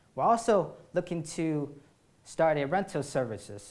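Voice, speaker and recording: At a fairly slow pace, a man talks with ordinary pitch variation in a room with audible echo. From China. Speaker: startup founder, student athlete. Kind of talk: startup pitch. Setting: stage with audience.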